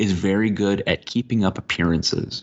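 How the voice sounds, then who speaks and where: A man with an American accent speaks in an ordinary speaking voice, fairly low in pitch, with ordinary pitch variation at a moderate pace. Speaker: writer and professor. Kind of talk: podcast interview answer.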